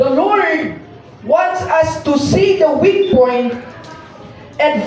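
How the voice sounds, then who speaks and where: With noticeable background noise and audible room echo around him, a man talks very slowly. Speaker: lay preacher. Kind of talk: sermon. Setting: church.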